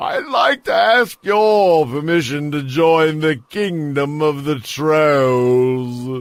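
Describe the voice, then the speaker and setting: A man puts on a cartoonish character voice, pitched fairly high. He talks at a very slow pace with hardly any pauses. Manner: hesitant, halting.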